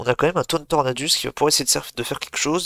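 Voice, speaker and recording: The recording of this man is dry and close with no echo, and his intonation stays fairly even. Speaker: video game commentator. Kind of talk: live commentary. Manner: fast.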